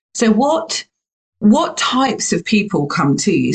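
A woman's medium-pitched voice with vocal fry and very wide pitch swings, in a dry, close sound with no echo. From UK. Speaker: podcast host. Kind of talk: casual interview chat. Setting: recording from home by the sea.

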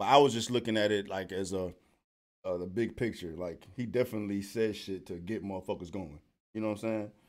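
In an ordinary speaking voice with an American accent, a man talks at a fairly quick pace and a fairly low pitch with fairly even intonation, on a very clean recording with a silent background. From US West Coast. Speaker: rapper and podcast co-host. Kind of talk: casual chat.

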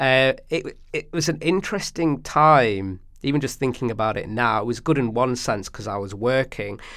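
A man with a Manchester accent, moderate pace and ordinary pitch variation on a very clean recording with a silent background. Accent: Manchester area English. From northern England, Stockport. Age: 30s. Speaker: actor. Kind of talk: casual chat.

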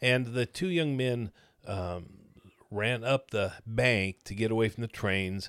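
A man with a Midwestern American accent talks at a medium pitch with ordinary pitch variation. The sound is dry and close with no echo, on a very clean recording with a silent background. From Missouri, Kansas City area. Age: 70s. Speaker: retired pastor. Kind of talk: casual interview chat.

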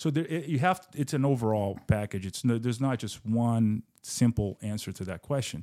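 A man at medium pitch talks at a moderate pace with lively intonation, a dark, mellow tone and hardly any pauses. The recording is very clean with a silent background, and the sound is dry and close with no echo. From Brazil. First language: Portuguese. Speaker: business founder and real estate investor. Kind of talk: casual interview.

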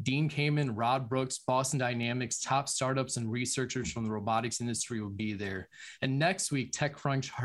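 Here a man speaks in a plain, everyday voice at a medium pitch and moderate pace, with ordinary pitch variation. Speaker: tech show host. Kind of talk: live webinar hosting. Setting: video call.

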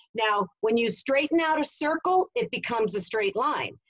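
A woman's unremarkable speaking voice with lively intonation at a moderate pace. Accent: American. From New Jersey. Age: 50s. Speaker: sales coach. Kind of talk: interview.

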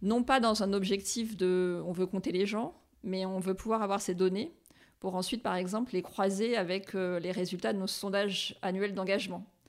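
Her pitch is medium and her intonation fairly even as a woman speaks in a plain, everyday voice. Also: moderate pace, very clean recording, silent background. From Réunion. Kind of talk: interview.

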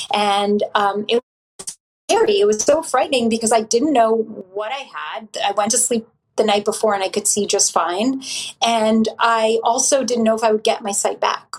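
This woman has an unremarkable speaking voice with a fairly high pitch. She keeps fairly even intonation at a moderate pace. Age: 40s. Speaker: author and meditation teacher. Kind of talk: casual chat.

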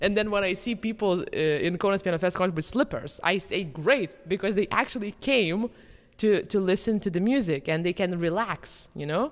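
In a very clean recording with a silent background, a woman with a Lithuanian accent talks at a fairly quick pace, with a medium pitch and ordinary pitch variation. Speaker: podcast host and pianist. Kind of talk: casual chat.

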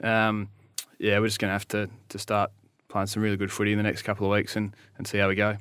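With an Australian accent, a man of fairly low pitch talks at a very fast pace in a monotone, flat intonation, with long, frequent pauses. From South Australia, Naracoorte. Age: 30s. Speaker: Australian rules footballer. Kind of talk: casual interview.

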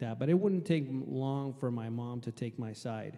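Someone speaks at a moderate pace in a Puerto Rican accent. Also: man. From Puerto Rico. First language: Spanish. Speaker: air force veteran. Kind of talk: panel testimony.

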